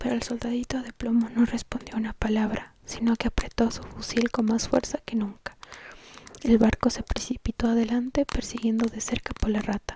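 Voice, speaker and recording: Noticeable background noise sits behind the voice. A woman talks in a fairly high, monotone, flat delivery. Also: moderate pace. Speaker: ASMR creator. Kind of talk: whispered bedtime story reading.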